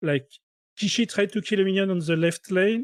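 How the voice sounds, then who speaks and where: Recorded dry and close with no echo, a man speaks at a moderate pace with ordinary pitch variation. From France. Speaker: game commentator. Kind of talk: live commentary. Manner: halting.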